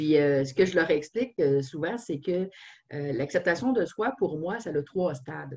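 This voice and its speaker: The speaker has a Quebec accent. The pace is fairly slow. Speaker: trainer and online show host. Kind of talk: casual interview. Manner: halting, many repetitions.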